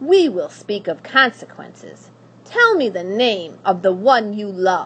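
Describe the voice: Plain reading aloud is all this clip holds.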